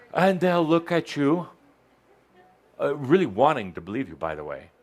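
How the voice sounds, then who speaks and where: A man speaks at a moderate pace with big swings in loudness as music plays in the background. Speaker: spiritual channeler. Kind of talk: channeled teaching to live audience. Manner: animated.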